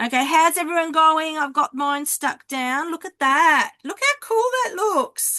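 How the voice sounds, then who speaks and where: A woman with an extremely high pitch and a bright, sharp tone projects her raised voice at a fairly slow pace with lively intonation. The sound is dry and close, with no echo. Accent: Australian. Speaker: card making teacher. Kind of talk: online craft class. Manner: loud.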